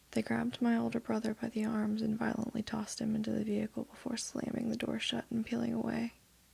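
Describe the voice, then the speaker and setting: Soft-spoken, the speaker moves at a very fast pace with hardly any pauses. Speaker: ASMR storyteller. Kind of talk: reading aloud.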